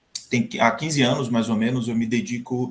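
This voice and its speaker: An unremarkable speaking voice from a man at medium pitch, with lively intonation and a fairly quick pace. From Brazil, Sergipe (Northeast). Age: 40s. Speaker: chef and professor. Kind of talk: interview.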